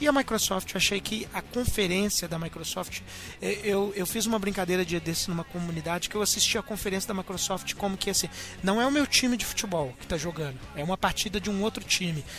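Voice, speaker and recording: Music plays in the background as a man with a high pitch talks at a fairly quick pace with ordinary pitch variation. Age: 20s. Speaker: podcast host. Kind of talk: casual chat.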